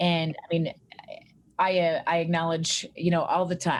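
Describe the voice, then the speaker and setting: Talking at a fairly quick pace, a woman speaks with a Canadian accent. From Canada, central Alberta. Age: 40s. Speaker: clinical psychologist. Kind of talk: podcast interview.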